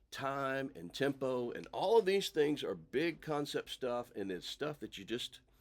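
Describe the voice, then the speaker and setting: This man's intonation is lively. The recording is very clean, with a silent background. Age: 50s. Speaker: drummer and high school band director. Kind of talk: casual instructional talk to camera. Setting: home practice room. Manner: relaxed, hesitant with many fillers.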